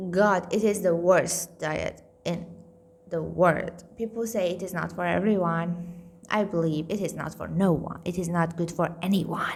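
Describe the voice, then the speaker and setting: Speaking fairly slowly in a flat monotone, a woman with a fairly low pitch comes through over noticeable background noise. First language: Farsi. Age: 30s. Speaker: vlogger sharing weight loss journey. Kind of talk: casual vlog monologue.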